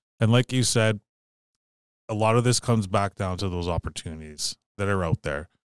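With a northern Ontario accent, a man of fairly low pitch and ordinary pitch variation speaks at a fairly quick pace with long, frequent pauses, in a dry, close sound with no echo on a very clean recording with a silent background. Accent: Canadian (northern Ontario). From Sault Ste. Marie, Ontario, Canada. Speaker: entrepreneur and public speaker. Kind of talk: interview.

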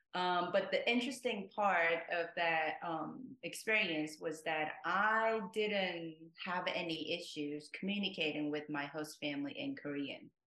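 This voice has a bright, sharp tone and a Japanese accent. The pace is fairly slow. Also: woman, fairly low pitch for a woman, lively intonation. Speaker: multilingual language-club member. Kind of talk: interview.

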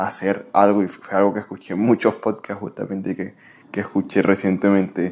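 A man's fairly low-pitched voice. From Venezuela. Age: 20s. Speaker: podcast host. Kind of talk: motivational monologue.

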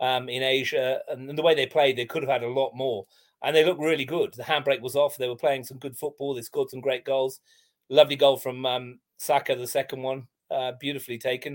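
A man's medium-pitched voice with an English accent, monotone and flat in intonation, fairly quick in pace, with big swings in loudness. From England. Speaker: football commentator and writer. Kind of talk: casual chat.

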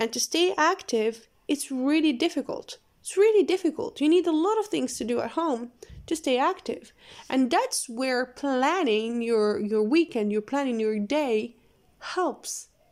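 In a very clean recording with a silent background, a woman with a non-native accent talks at a fairly slow pace in a high pitch, her pitch swinging very widely. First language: not English. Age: 20s. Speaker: podcast host. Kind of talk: casual monologue. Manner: halting.

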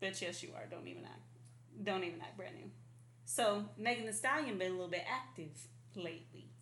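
Showing vocal fry and a fairly low pitch, a woman with an American accent talks at a fairly quick pace with long, frequent pauses, very wide pitch swings and big swings in loudness, with audible room echo around her. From Arizona. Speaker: podcast co-host. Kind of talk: casual chat. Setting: apartment without AC.

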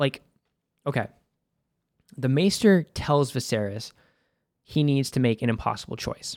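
Fairly high-pitched, animated man's voice in a Boston accent, at a moderate pace with ordinary pitch variation and long, frequent pauses. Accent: Boston American. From US Northeast, Boston. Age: 30s. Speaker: podcast host. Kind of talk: casual solo podcast commentary. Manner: animated, profane, joking.

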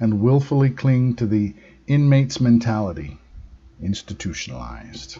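A man speaks fairly slowly at a medium pitch, somewhat breathy, with a dark, mellow tone and lively intonation. His tone is solemn and intense, over a quiet background. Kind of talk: dramatic narration of spiritual monologues, reading aloud. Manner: solemn, intense, theatrical, slow measured delivery.

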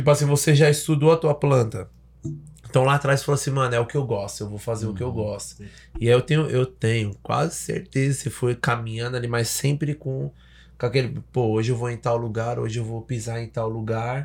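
In a very clean recording with a silent background, a man of medium pitch talks at a fairly quick pace with ordinary pitch variation and a somewhat breathy quality. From Salvador, Bahia, Brazil. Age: 30s. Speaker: podcast host. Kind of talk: casual chat. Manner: animated.

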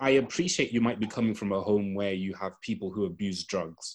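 A man talks at a moderate pace in a plain, everyday voice. His pitch is fairly low, with ordinary pitch variation. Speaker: podcast panelist. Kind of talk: casual discussion.

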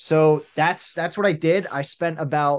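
Against a quiet background, a man with an American accent uses a normal speaking voice with ordinary pitch variation. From US Northeast, Pennsylvania near Philadelphia. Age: 20s. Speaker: clothing brand founder. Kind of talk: interview.

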